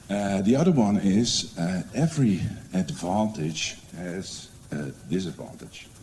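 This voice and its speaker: In a Dutch accent, a man speaks at a fairly slow pace with a fairly low pitch and lively intonation. Audible room echo fills the recording. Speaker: educational support advisor. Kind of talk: conference presentation. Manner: hesitant, many fillers.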